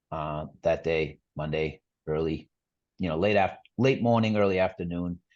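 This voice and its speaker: A man's very deep, low pitch in a Boston accent, with ordinary pitch variation, a moderate pace and a quiet background. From Boston area, Massachusetts. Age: 40s. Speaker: amputee sharing his story. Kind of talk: podcast interview, personal story.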